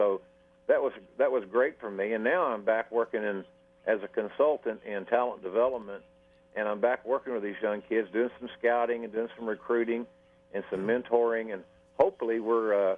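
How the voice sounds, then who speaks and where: A man at medium pitch talks at a moderate pace in a plain, everyday voice. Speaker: wrestling announcer and talent development consultant. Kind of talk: radio interview answer.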